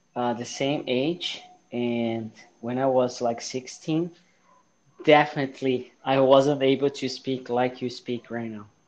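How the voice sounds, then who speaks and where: A man with a Portuguese accent speaks very slowly at a medium pitch, his intonation fairly even. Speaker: podcast host. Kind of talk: casual interview.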